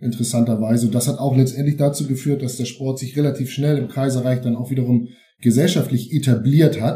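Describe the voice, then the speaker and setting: At a fairly quick pace, a man talks in a medium pitch with a somewhat breathy, dark, mellow tone. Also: fairly even intonation. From Schleswig-Holstein (Eutin, Ostholstein). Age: 50s. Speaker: football historian and author. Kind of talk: interview.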